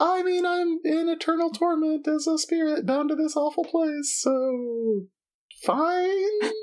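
A man puts on a character voice, pitched extremely high and delivered fairly slowly. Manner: sarcastic, deadpan.

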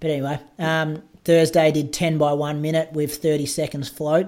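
A fairly high-pitched man with an Australian accent, in a very clean recording with a silent background. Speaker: podcast host and runner. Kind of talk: casual chat.

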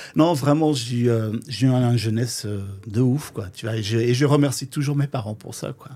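A man's dark, mellow voice at medium pitch moves at a moderate pace with ordinary pitch variation and big swings in loudness. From Flanders, Belgium. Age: 50s. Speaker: drag queen and DJ. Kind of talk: casual interview.

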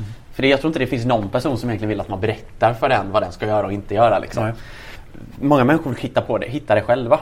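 A man's somewhat breathy voice at a very fast pace, with ordinary pitch variation. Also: medium pitch for a man. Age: 20s. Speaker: entrepreneur. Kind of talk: interview.

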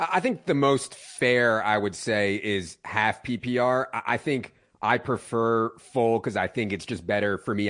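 A man's unremarkable speaking voice at a medium pitch, with ordinary pitch variation. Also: quiet background. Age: 40s. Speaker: fantasy football analyst. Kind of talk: radio interview.

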